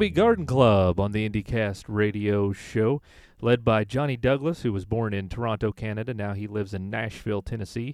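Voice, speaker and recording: A man with a normal speaking voice, fairly low in pitch with ordinary variation, at a moderate pace over a quiet background. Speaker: radio host. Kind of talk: radio DJ patter introducing indie bands and songs between tracks. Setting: radio show, studio. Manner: upbeat, casual, friendly announcer, chatty with light laughter.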